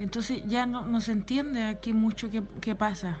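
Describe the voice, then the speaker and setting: A woman with a Chilean accent talks with ordinary pitch variation over noticeable background noise. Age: 30s. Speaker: clown. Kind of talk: interview answers. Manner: halting.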